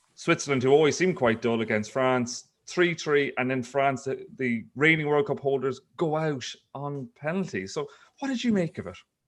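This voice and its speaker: A man speaks with an Irish accent at a fairly high pitch. His intonation is lively. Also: moderate pace, quiet background. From Ireland. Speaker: investigative journalist. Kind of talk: casual chat.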